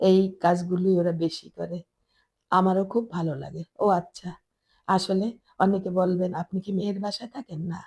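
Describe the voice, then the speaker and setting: Dark and mellow in tone, a woman's medium-pitched voice comes through with a dry, close sound with no echo. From Bangladesh, Chittagong. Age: old. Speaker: lifestyle vlogger, housewife. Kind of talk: home tour vlog narration.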